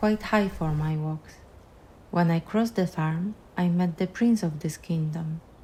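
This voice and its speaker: At a moderate pace, the somewhat breathy voice has a dark, mellow tone and ordinary pitch variation. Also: woman. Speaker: filmmaker, narrator. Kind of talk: personal film narration.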